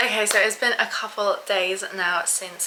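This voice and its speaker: A woman of medium pitch speaks at a fairly slow pace. Noticeable background noise and audible room echo are present. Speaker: fitness vlogger. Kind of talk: casual vlog talk to camera.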